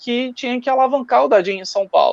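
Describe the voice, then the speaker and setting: A man speaks at an extremely high pitch in a Rio de Janeiro accent, with ordinary pitch variation. The sound is dry and close, with no echo. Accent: Carioca. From Brazil, Rio de Janeiro. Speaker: table football organizer. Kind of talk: live stream talk.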